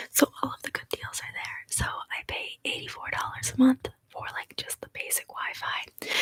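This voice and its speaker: Whispering at a moderate pace, a woman barely pauses. The sound is dry and close with no echo. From Canada. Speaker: ASMR youtuber. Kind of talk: casual live stream chat. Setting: live stream from home. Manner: soft-spoken.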